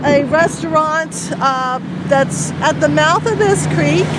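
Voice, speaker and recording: Over noticeable background noise, a woman speaks at a very slow pace in a dry sound with no echo. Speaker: local area guide. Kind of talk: casual vlog chat. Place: street. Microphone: phone near.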